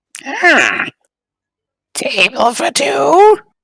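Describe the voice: The voice is a put-on character voice, creaky and high in pitch.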